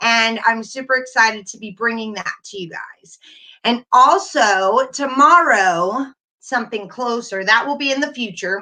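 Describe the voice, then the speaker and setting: A bright, sharp tone with lively intonation, big swings in loudness and a fairly slow pace. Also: woman, fairly high pitch for a woman. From North Carolina. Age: 40s. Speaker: YouTuber. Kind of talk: casual live stream chat.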